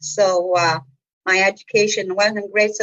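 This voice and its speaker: A woman speaks with a Manitoban accent at a medium pitch. Her pace is fairly slow and her intonation fairly even. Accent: Canadian (Manitoba). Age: 60s. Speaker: community centre executive director. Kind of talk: podcast interview. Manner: casual, hesitant with frequent fillers.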